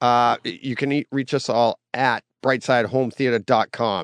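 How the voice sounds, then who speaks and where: Here a man uses a normal speaking voice at medium pitch. The sound is dry and close with no echo against a quiet background. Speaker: podcast host. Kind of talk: casual chat.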